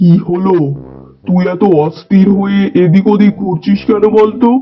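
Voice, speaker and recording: A man puts on a cartoonish character voice, high in pitch, at a moderate pace. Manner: bossy, rude.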